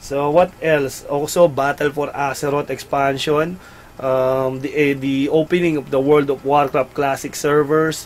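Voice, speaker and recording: At a fairly slow pace, a man talks in a fairly high pitch. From Philippines. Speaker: gaming website host. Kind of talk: casual live-stream chat. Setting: live stream studio. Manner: animated. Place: home room.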